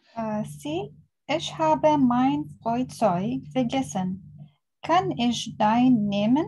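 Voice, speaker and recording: A woman's fairly high, dark and mellow voice, somewhat breathy, in an Arabic accent, at a very slow pace with very wide pitch swings. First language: Arabic (speaking German). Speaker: language student. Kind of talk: reading aloud exercises.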